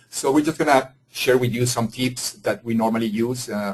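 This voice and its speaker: A man with a Spanish accent speaks at a moderate pace and medium pitch, his voice somewhat breathy and his intonation fairly even. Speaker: engineering executive. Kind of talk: webinar presentation. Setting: webinar. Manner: halting, frequent fillers.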